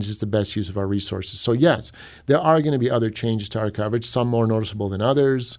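With an ordinary speaking voice, a man talks at a fairly quick pace with ordinary pitch variation on a very clean recording over a silent background. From US Midwest, Cleveland, Ohio. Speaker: newspaper editor-in-chief. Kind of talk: radio interview. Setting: studio.

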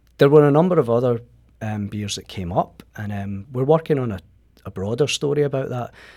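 A man with a Scottish accent talks at a fairly quick pace in a dark, mellow tone at medium pitch. His intonation is lively with big swings in loudness, on a very clean recording with a silent background. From Scotland. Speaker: magazine writer. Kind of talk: radio interview. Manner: halting.

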